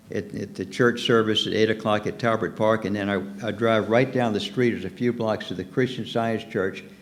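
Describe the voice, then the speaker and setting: Audible room echo surrounds a man of medium pitch talking at a fairly quick pace. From US South, Norfolk, Virginia. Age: 70s. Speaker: pastor. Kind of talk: sermon. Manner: halting.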